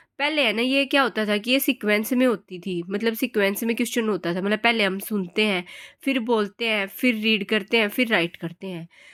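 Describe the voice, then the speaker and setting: A woman's fairly high, a plain, everyday voice at a moderate pace with hardly any pauses and ordinary pitch variation, in a very clean recording with a silent background and a dry, close sound with no echo. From Haryana, India. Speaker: teacher. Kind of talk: lecture. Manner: casual, conversational.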